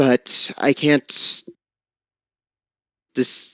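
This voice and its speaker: A man puts on a raspy character voice. The sound is dry and close, with no echo. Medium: actual play. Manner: earnest, hesitant.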